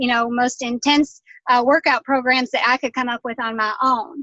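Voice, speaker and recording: A woman with a Southern US accent, high-pitched and fairly even in intonation, in a dry, close sound with no echo. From Kentucky. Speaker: health and fitness coach. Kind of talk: casual testimony.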